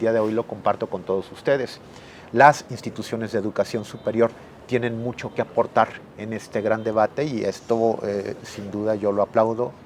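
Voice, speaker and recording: Speaking with a Mexican accent over noticeable background noise, a man at a medium pitch keeps a moderate pace and fairly even intonation. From Mexico. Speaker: professor and researcher. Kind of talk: interview. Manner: formal; hesitant with fillers.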